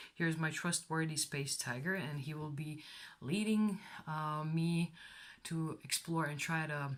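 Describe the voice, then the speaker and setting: A woman with a non-native accent speaks at a fairly slow pace. Her voice is very deep and low, with fairly even intonation. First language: not English. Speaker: tarot reader. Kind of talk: tarot reading to camera. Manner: casual, hesitant.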